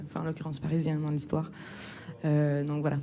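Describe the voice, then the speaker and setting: A woman speaks at a very fast pace with a very deep, low pitch. Audible room echo surrounds her voice. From Quebec. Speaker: film director. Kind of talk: interview. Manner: hesitant, many fillers.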